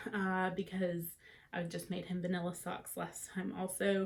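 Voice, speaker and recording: The voice has an American accent and is somewhat breathy. It moves at a fairly slow pace. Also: woman. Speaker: knitting podcaster. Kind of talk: casual chat. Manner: conversational with frequent fillers.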